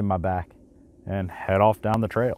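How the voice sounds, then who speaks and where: A man speaks with fairly even intonation. The sound is dry with no echo. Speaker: gear reviewer. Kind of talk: product review talk. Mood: relaxed, conversational. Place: waterside.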